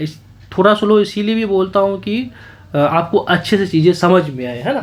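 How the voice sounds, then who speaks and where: This man has a high-pitched voice with ordinary pitch variation. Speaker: exam prep teacher. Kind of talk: tutorial. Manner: slow.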